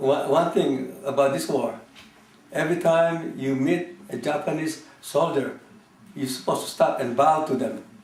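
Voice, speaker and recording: A man at a fairly slow pace with fairly even intonation, audible room echo and noticeable background noise. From Philippines (Manila). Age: 70s. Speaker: war survivor. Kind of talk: oral history interview. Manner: halting, many fillers.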